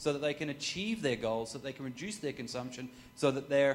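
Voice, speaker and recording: With an Australian accent, a man speaks at a very fast pace in a fairly high-pitched voice with ordinary pitch variation. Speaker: corporate sustainability consultant. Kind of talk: talk with audience Q&A.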